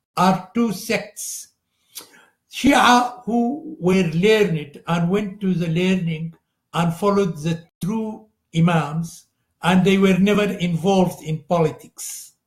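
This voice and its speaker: Speaking very slowly with an Arabic accent, a man uses a high-pitched voice. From Sudan. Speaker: religious scholar. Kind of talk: lecture. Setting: live broadcast. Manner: halting, with frequent fillers.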